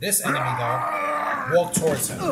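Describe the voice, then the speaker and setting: A man speaks while music plays in the background. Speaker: gaming streamer. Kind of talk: gameplay tutorial commentary. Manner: fast.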